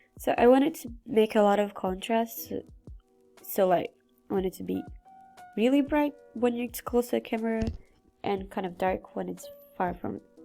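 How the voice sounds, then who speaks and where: A woman at a moderate pace with long, frequent pauses, music in the background. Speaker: digital artist. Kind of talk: casual speedpaint commentary. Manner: casual, rambling.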